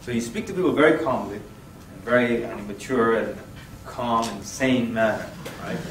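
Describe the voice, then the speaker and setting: Recorded with audible room echo and noticeable background noise, a man at medium pitch speaks with big swings in loudness. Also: ordinary pitch variation, moderate pace. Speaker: Islamic workshop instructor. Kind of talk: workshop lecture. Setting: room with live audience. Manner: animated.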